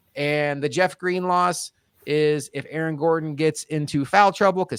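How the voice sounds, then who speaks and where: Here is an ordinary speaking voice from a man, fairly high in pitch. He goes at a moderate pace, and the sound is dry and close with no echo. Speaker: basketball podcast panelist. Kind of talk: casual sports analysis chat.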